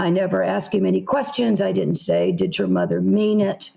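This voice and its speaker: A woman with a Southern US accent at a moderate pace. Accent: Southern American. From South Carolina, USA. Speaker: novelist. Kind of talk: interview answer.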